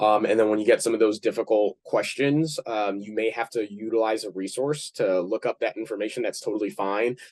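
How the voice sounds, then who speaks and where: A man at medium pitch speaks at a fairly quick pace with fairly even intonation and hardly any pauses, the sound dry and close with no echo. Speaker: community pharmacist. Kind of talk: panel discussion. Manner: fast.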